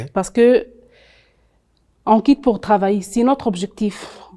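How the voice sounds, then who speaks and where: Speaking with an Arabic accent, a woman has a fairly high pitch and a dark, mellow tone. She goes at a fairly slow pace on a very clean recording with a silent background. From Tunisia. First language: Arabic (speaking French). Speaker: content creator and HR advisor, immigrant. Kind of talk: TV interview. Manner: halting, many hesitations.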